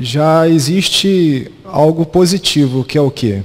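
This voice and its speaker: A man's voice with ordinary pitch variation. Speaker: lecturer. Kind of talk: lecture. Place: hall. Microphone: handheld.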